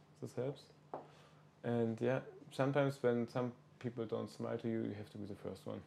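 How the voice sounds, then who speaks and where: A man talks in a monotone, flat intonation at a medium pitch with a dark, mellow tone. His pace is fairly quick, yet long, frequent pauses break up his speech. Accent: German. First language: German. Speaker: podcast host. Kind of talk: casual interview. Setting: in person, small village on pilgrimage.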